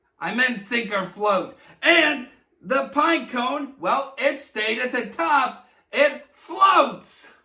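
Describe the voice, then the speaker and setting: A man uses a cartoonish character voice, raised and projected, at an extremely high pitch and a very slow pace. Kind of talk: kids' educational presentation. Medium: puppet. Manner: upbeat.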